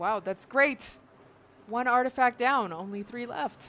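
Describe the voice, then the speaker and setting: In a put-on character voice, someone speaks fairly slowly at a fairly high pitch. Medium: actual play. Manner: friendly, casual.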